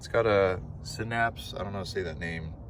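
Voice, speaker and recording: Fairly quick delivery from a man with an American accent. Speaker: car vlogger. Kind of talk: casual vlog. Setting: outdoors. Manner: fast; low energy.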